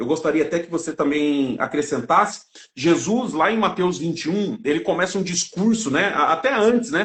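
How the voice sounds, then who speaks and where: A high-pitched man with an animated tone and lively intonation. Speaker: evangelical Bible teacher. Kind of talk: religious discussion on livestream. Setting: online live stream. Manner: fast.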